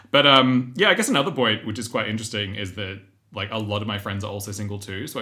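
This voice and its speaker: Very fast and bright, sharp in tone, a man with an Australian accent talks at a fairly low pitch with fairly even intonation. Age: 30s. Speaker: podcast co-host and actor. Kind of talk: casual chat.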